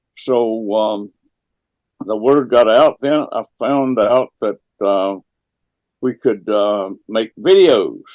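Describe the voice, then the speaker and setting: With an American accent, a man speaks very slowly at a medium pitch with ordinary pitch variation and long, frequent pauses, in a dry, close recording with no echo. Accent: hillbilly. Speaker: dowsing teacher. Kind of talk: interview. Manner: halting.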